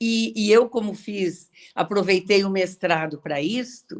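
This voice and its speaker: Her pitch is medium as the woman speaks very slowly. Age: 70s. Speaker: retired teacher and author. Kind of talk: online interview. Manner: halting.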